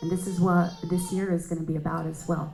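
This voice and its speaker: A woman's fairly low-pitched voice at a moderate pace, with audible room echo. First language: not English. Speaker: astrologer. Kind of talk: panel discussion.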